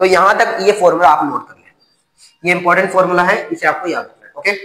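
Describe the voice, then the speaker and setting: Raising and projecting his voice, a man speaks in a high pitch with ordinary pitch variation and big swings in loudness. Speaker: teacher. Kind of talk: lecture.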